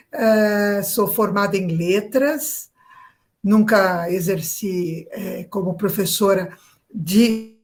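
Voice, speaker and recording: At a very slow pace, a woman talks in a somewhat breathy voice of medium pitch with ordinary pitch variation. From Brazil, São Paulo. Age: 60s. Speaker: real estate agent, political activist. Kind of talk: interview. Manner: hesitant, many fillers.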